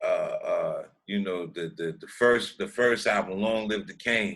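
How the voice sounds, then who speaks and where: A man at a very slow pace. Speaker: rapper. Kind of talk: interview. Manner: casual slang-heavy.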